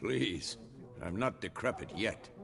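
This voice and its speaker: A man does a raspy, put-on character voice at a very deep, low pitch with very wide pitch swings. Clear background noise sits behind him. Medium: video game. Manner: calm, measured.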